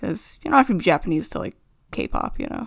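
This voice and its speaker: A woman speaks at a fairly quick pace with vocal fry. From Canada. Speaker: artist, cartoon creator. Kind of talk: unscripted commentary over a speed drawing.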